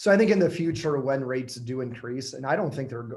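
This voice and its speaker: With an American accent, a man talks at a fairly quick pace. His voice is medium in pitch with a dark, mellow tone and ordinary pitch variation. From Michigan. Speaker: real estate agent. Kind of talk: webinar panel answering questions.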